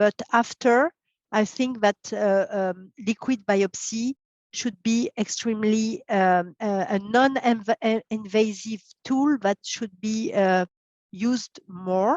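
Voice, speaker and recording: With a French accent, a woman speaks at a very slow pace in a fairly high voice. Her pitch variation is ordinary, and the sound is dry and close with no echo. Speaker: pathologist. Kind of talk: expert interview. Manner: halting, many fillers.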